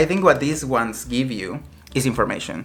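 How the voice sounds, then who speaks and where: Against noticeable background noise, a man talks at a very fast pace in a medium pitch with lively intonation. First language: not English. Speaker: headphone reviewer. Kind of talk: product review. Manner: casual, halting with many fillers.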